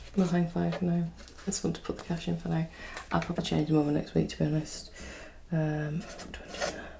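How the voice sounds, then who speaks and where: A soft-spoken woman at a very fast pace, with long, frequent pauses and noticeable background noise. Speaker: single mum budgeting YouTuber. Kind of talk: casual talk to camera. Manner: soft-spoken, chatty.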